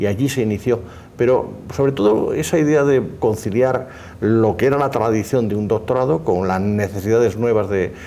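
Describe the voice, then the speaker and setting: A man with a Spanish accent, medium pitch, ordinary pitch variation and a moderate pace. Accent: Spanish (Spain). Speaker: law professor. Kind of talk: formal conversation. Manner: formal.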